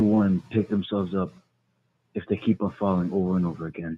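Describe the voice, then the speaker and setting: Using a put-on character voice, a man mumbles his words. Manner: mumbling, hard to hear.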